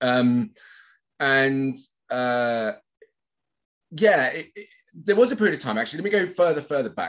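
Medium-pitched male voice with a West Country accent and very wide pitch swings, set against a quiet background. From England, Bristol; England. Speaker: social cohesion consultant; podcast guest. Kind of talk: casual chat. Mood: thoughtful, warm. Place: home room. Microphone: webcam.

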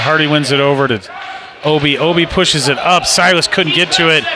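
A man speaks at a moderate pace with a fairly high pitch. The sound is dry with no echo, but noticeable background noise comes through. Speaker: parent or amateur play-by-play commentator. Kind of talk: live sports commentary, co-commentator; sports commentary. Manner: casual, hesitant, with fillers. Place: stadium. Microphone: phone near.

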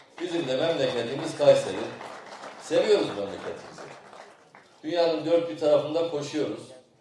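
A man talks at a moderate pace over crowd noise in the background. The room echo is audible. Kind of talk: ceremonial speech. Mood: warm, praising. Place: open country. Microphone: podium.

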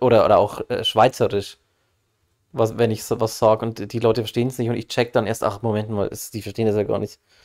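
A man talks very fast in a flat monotone. The recording is very clean, with a silent background. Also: medium pitch for a man. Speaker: gaming streamer. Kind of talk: casual chat.

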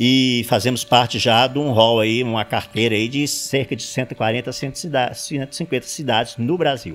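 Over music in the background, a man speaks at a very slow pace with hardly any pauses and fairly even intonation. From Sete Lagoas, Minas Gerais, Brazil. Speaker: retired auditor, civic watchdog president. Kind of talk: interview. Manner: halting. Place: home room. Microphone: handheld.

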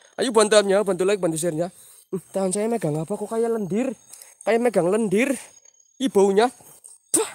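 Speaking at a fairly quick pace with ordinary pitch variation, the voice pauses often and at length, and the sound is dry with no echo. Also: man, high pitch for a man. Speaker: paranormal explorer streamer. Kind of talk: live stream night exploration. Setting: outdoors at night after rain. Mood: tense, spooky, half joking. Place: forest. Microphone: phone near.

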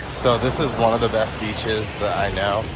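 A man's dry sound with no echo competes with loud background noise. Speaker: family vlogger. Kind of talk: casual vlog chat. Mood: cheerful, relaxed. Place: beach. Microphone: phone near.

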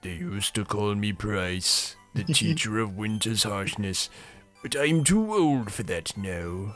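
A man does a put-on character voice, fairly low and fairly slow, with faint music in the background. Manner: weary, wise, reflective.

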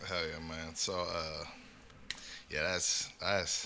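A man with an American accent speaks with a very deep, low pitch. His tone is bright and sharp. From California. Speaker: podcast host. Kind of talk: casual chat. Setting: video recording. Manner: animated. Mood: relaxed, joking. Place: studio. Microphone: studio mic.

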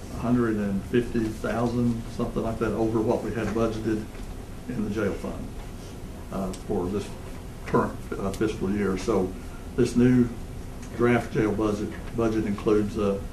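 Over noticeable background noise, a man with a fairly low pitch speaks fairly slowly in a monotone, flat intonation, leaving long, frequent pauses. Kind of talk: meeting business presentation. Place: meeting room. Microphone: podium.

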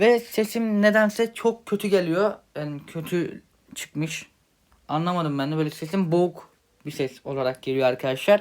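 Speaking at a moderate pace, a high-pitched man uses lively intonation. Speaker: mobile gaming YouTuber. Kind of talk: channel announcement. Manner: casual, hesitant with fillers.

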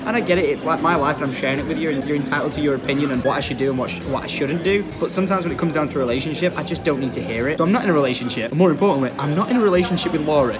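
A man's speech at a very fast pace with hardly any pauses, over clear music in the background. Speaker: vlogger. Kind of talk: casual vlog chat. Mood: earnest, slightly exasperated. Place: cafe. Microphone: phone near.

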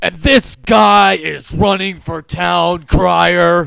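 Raspy and fairly low-pitched, a man speaks at a very slow pace. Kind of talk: political attack ad voice-over. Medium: comedy sketch. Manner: ominous, accusatory.

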